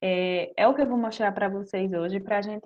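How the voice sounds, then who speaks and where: This woman has a plain, everyday voice. Her pitch is fairly high and her pace is moderate. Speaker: master's student researcher in medicinal chemistry. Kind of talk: lecture.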